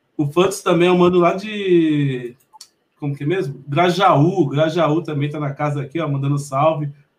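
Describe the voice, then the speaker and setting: This man talks at a moderate pace. His voice sits fairly high. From Mogi das Cruzes, São Paulo state, Brazil. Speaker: podcast host. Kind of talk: casual interview. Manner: animated.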